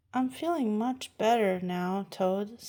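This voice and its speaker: A woman's put-on character voice at a medium pitch, delivered at a fairly slow pace. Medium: read story.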